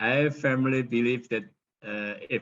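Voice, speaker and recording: Speaking with an Indonesian accent, a man talks at a fairly slow pace in a bright, sharp tone with ordinary pitch variation. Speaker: professor, arts researcher. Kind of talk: conference presentation. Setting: webinar video call. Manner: halting, many fillers.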